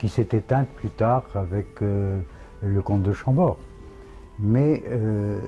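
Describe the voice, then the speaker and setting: Over music in the background, a man speaks very slowly at a fairly low pitch, with ordinary pitch variation and long, frequent pauses. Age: 80s+. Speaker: royal pretender. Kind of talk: interview answer.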